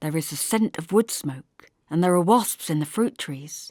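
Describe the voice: In a very clean recording with a silent background, a woman with a low pitch and a dark, mellow tone speaks at a moderate pace with lively intonation, the sound dry and close with no echo.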